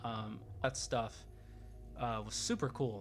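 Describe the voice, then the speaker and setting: Over music in the background, a man with an American accent talks at a medium pitch with fairly even intonation. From Texas. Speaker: gaming YouTuber. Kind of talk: casual game review monologue. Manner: casual, filler-heavy with stumbles.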